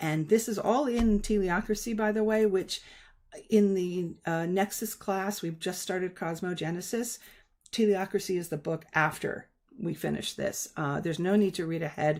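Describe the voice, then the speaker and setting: At a medium pitch and moderate pace, a woman talks in a normal speaking voice with ordinary pitch variation, in a very clean recording with a silent background. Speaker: live stream host and spiritual teacher. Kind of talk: live stream discussion explaining concepts. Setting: live stream.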